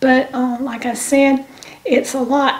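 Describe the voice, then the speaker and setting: A woman with a high pitch and a Southern US accent, speaking very slowly. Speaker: YouTube channel co-host. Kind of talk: devotional reading. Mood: calm, gentle, hesitant. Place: kitchen. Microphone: camera far.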